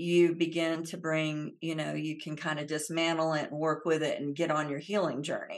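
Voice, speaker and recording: In an American accent, a woman speaks at a moderate pace with hardly any pauses, her pitch very deep and low. Her intonation is monotone and flat over a quiet background. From US South, Central Florida. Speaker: emotional healing educator. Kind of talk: interview.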